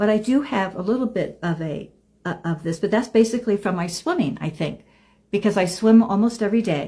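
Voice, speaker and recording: At a fairly quick pace, a woman speaks with a dark, mellow tone, medium pitch, ordinary pitch variation and a somewhat breathy quality. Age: 70s. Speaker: lifestyle vlogger. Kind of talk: casual monologue to camera. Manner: halting.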